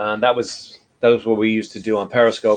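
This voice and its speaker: A man with a New York accent talks at a moderate pace. His fairly low voice has monotone, flat intonation. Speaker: livestream host. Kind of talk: casual chat. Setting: live video broadcast.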